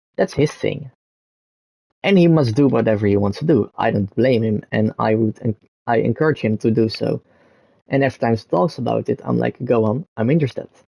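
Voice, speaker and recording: A man speaks with a Dutch accent in a dark, mellow tone. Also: medium pitch for a man, ordinary pitch variation, fairly quick pace. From Netherlands. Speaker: gaming streamer. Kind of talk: casual live stream monologue. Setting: live stream with background gameplay. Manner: halting, many fillers and restarts.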